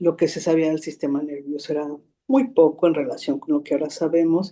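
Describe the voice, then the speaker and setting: A woman's very deep, low voice, dark and mellow in tone, with ordinary pitch variation. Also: fairly quick pace. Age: 60s. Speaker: psychotherapist. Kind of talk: interview. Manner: halting.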